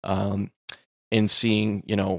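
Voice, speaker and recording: The man's fairly low voice is monotone and flat, recorded very cleanly against a silent background with a dry, close sound and no echo. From Texas. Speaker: podcast co-host. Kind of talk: casual discussion.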